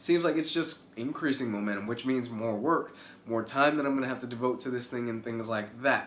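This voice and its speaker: A man at medium pitch talks at a fairly quick pace with ordinary pitch variation. Room echo is audible and background noise is noticeable. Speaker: YouTuber. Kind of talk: casual vlog update.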